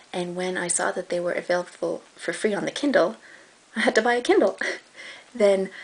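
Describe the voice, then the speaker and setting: Over noticeable background noise, a woman talks at a medium pitch and a moderate pace with ordinary pitch variation. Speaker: book reviewer. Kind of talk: casual talk to camera.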